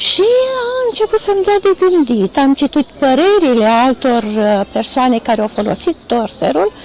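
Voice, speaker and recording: A woman's fairly slow speech with very wide pitch swings, amid noticeable background noise. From Romania, Iași (Moldavia). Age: 60s. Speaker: retired teacher giving a product testimonial. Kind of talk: testimony. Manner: halting, with fillers.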